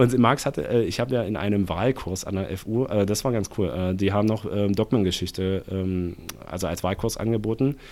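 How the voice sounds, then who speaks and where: A man with a normal speaking voice and fairly low pitch speaks at a moderate pace with ordinary pitch variation. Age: 20s. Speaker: economist and party activist. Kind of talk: casual interview conversation.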